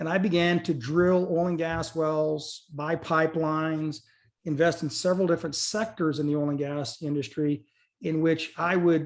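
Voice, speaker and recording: Fairly even intonation from a man with a fairly high pitch. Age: 50s. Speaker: oil and gas company executive. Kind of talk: webinar presentation. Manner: fast.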